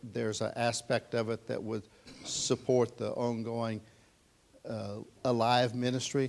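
A man speaks at a medium pitch. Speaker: church leader introducing speaker. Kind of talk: introduction remarks. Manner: hesitant, halting, many fillers.

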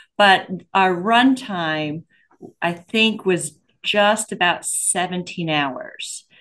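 A woman with an American accent speaks very slowly at a medium pitch. Her intonation is lively, and the background is quiet. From Pennsylvania. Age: 50s. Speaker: flight attendant and amateur runner. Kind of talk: interview.

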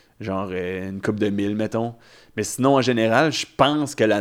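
Recorded very cleanly against a silent background, a man speaks in a normal speaking voice at a fairly low pitch and a moderate pace. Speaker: stand-up comedian. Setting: studio.

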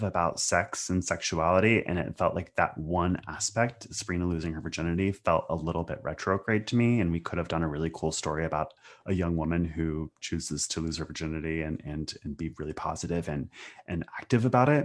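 Speaking at a fairly quick pace, a man uses a very deep, low pitch with ordinary pitch variation. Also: quiet background. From US Pacific Northwest. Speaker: TV writer. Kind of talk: casual interview chat.

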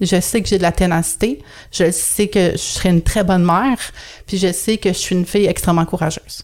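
A woman with a Quebec accent at a fairly quick pace. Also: medium pitch for a woman, fairly even intonation, very even loudness. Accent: Québécois French. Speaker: astrologer and personal development consultant. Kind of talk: podcast interview. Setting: video call.

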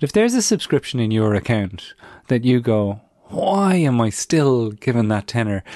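A man speaks in an Irish accent at a moderate pace and medium pitch, his dark, mellow tone carrying lively intonation in a dry, close sound with no echo. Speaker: podcast host. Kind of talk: interview.

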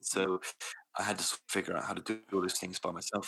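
A man talks at a fairly quick pace and a fairly low pitch. His tone is bright and sharp, his intonation monotone and flat. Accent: British. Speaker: podcast host. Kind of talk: personal story interview. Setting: remote call. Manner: soft-spoken, quiet.

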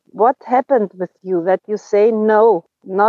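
A woman speaks at a very slow pace. Her pitch is medium, with ordinary pitch variation. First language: German. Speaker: recovery group member. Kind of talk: casual chat. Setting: video call.

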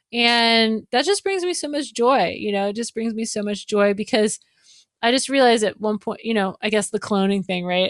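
A woman with a plain, everyday voice talks fairly quickly at a fairly high pitch with ordinary pitch variation, in a dry, close sound with no echo. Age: 40s. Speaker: violinist and live show designer. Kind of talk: casual interview.

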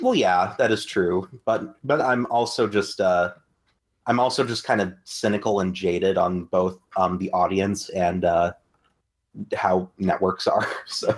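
A man with a normal speaking voice talks at a fairly slow pace and a fairly low pitch. His pitch variation is ordinary and his loudness very even. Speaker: podcast co-host. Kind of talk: casual chat.

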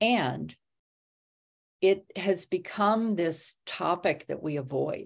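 A woman speaks at a medium pitch with vocal fry and ordinary pitch variation, going very slowly with long, frequent pauses, on a very clean recording with a silent background. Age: 60s. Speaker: podcast host. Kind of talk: casual interview, live stream. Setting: Facebook Live stream.

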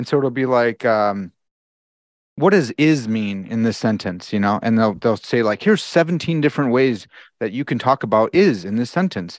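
In an unremarkable speaking voice, a man talks at a moderate pace with lively intonation and a medium pitch, the sound dry and close with no echo against a quiet background. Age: 30s. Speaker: philosophy podcaster. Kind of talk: casual chat.

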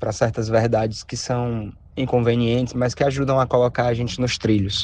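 The man's pitch sits in the middle range. He delivers his words with a flat, monotone intonation. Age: 20s. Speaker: listener sending a voice message. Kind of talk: recorded voice message.

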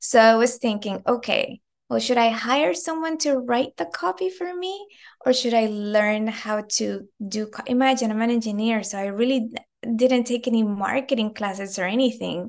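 A woman speaks in an animated, enthusiastic tone at a moderate pace. Her pitch is fairly high, with ordinary variation. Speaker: perfumer, former engineer. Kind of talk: casual interview chat.

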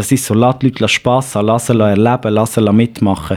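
A man with a Swiss accent, medium pitch, fairly even intonation and a fairly quick pace, over noticeable background noise. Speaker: digital learning and upskilling specialist. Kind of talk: podcast interview.

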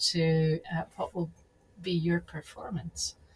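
Somewhat breathy, a woman speaks fairly slowly at a medium pitch. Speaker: podcast host. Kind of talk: casual interview.

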